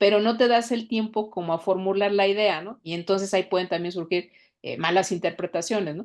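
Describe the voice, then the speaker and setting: With big swings in loudness, a woman talks at a fairly quick pace and a medium pitch, her intonation fairly even, against a quiet background. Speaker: podcast panelist. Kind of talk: casual chat. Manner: fast.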